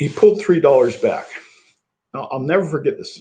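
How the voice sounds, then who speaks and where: A Midwestern American accent at a fairly quick pace. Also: man. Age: 60s. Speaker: business incubator executive. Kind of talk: interview.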